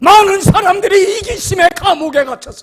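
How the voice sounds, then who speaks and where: A man's raised, projected voice in an animated tone, with ordinary pitch variation. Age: 70s. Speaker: pastor. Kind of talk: sermon. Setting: church.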